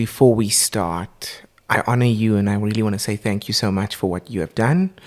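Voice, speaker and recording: A man speaks with a South African accent. His pitch is fairly low. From South Africa, Port Elizabeth. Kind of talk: casual interview. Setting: home recording.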